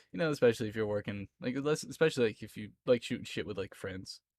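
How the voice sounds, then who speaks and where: The speaker talks at a very fast pace with a slight Southern US accent. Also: man, very clean recording, silent background. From Florida, US South. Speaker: streamer. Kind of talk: casual chat. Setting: live stream.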